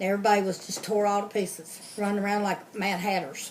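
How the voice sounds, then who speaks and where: A woman with an American accent at a moderate pace, over noticeable background noise. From Kentucky, Louisville. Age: 60s. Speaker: interviewee, relative of interviewer. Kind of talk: oral history interview. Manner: casual, hesitant with fillers.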